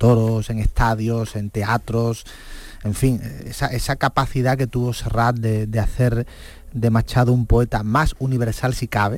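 A man with a medium pitch speaks at a fairly slow pace in a monotone, flat intonation. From Cádiz, Andalusia, Spain. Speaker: writer and music biographer. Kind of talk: radio interview. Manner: halting, frequent word repetitions.

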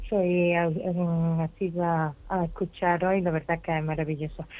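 Fairly low woman's voice with a dark, mellow tone and fairly even intonation over a quiet background. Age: 60s. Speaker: caller. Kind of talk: phone-in question. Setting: phone call.

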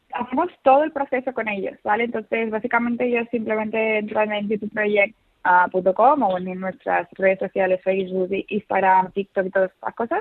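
A woman with a fairly high voice talks at a moderate pace with ordinary pitch variation and hardly any pauses. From Seville. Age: young. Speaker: study abroad advisor. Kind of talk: interview. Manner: halting.

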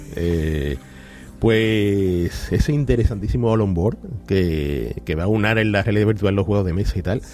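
With an unremarkable speaking voice pitched fairly low, a man talks at a fairly slow pace using lively intonation. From Andalusia, Barbate (Cádiz). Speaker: video game expert commentator. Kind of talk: casual chat.

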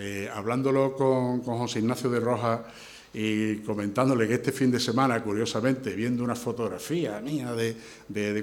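Audible room echo around a male voice with fairly even intonation. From Andalusia, Spain (Huelva province village, then Seville). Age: 60s. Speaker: engineer and brotherhood candidate. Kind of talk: candidacy presentation and press Q&A. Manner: halting, many repetitions and fillers.

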